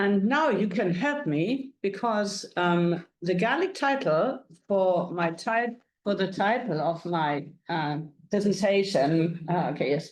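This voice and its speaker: A woman in a German accent, very slow in pace, with lively intonation and very even loudness. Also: medium pitch for a woman. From Germany. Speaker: music curator. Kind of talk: lecture.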